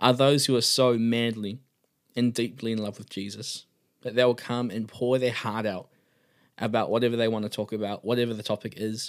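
In a New Zealand accent, a man speaks at a moderate pace and medium pitch with monotone, flat intonation on a very clean recording with a silent background. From New Zealand, Auckland. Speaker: podcast host. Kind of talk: faith devotional talk.

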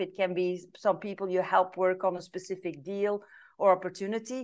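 A woman with a Flemish accent, a fairly quick pace, and a quiet background. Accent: Belgian (Flemish) English. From Belgium. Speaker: business advisor. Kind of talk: interview.

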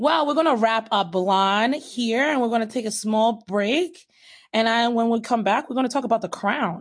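A woman's normal speaking voice, fairly high in pitch, with ordinary pitch variation, very even loudness, a moderate pace and a quiet background. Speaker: podcast host. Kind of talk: casual chat.

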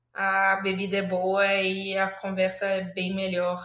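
This is a woman's voice with a medium pitch. Her tone is bright and sharp. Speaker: journalist and podcast co-host. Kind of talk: casual chat.

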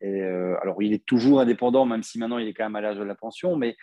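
Dry and close with no echo, the recording carries a man's dark, mellow tone. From Belgium. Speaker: podcast host. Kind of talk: casual interview.

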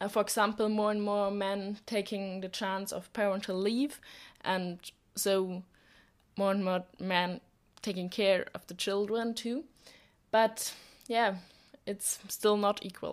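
The speech has a German accent and a monotone, flat intonation. Long, frequent pauses break it up. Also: woman, medium pitch for a woman, fairly slow pace, very clean recording, silent background. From Germany. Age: young. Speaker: volunteer. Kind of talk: podcast interview. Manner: halting.

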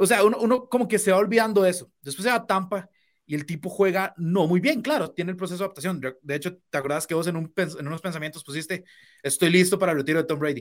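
Speaking very fast in a Costa Rican accent, a man with a high voice and ordinary pitch variation is heard on a very clean recording with a silent background. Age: 20s. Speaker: sports co-host. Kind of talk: casual sports talk.

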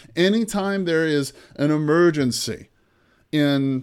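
A man speaks in a plain, everyday voice. It sits at a fairly high pitch with ordinary pitch variation. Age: 50s. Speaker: podcast host, real estate investor. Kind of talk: solo podcast monologue.

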